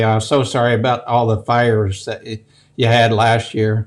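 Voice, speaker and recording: A man's medium-pitched voice at a moderate pace, with a slight Southern US accent. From US South. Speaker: woodworking channel host. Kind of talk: casual video interview.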